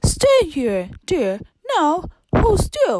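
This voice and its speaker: A woman uses a put-on character voice pitched high. Her pitch swings very widely. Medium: read story. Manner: fussy, bustling.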